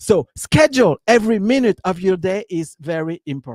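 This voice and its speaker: With a French accent, a man speaks in very wide pitch swings, the sound dry and close with no echo. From France. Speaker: business coach. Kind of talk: live stream talk. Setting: live stream. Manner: halting, many fillers.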